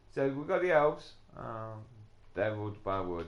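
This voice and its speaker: Audible room echo surrounds the voice. A man speaks with lively intonation. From England. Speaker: gaming live streamer. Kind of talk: casual live gameplay commentary. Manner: hesitant, many fillers.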